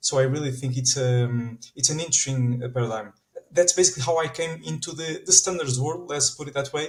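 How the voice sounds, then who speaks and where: With a Portuguese accent, a man talks at a fairly quick pace with ordinary pitch variation. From Portugal. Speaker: standards organization manager. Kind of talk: podcast interview. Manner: animated.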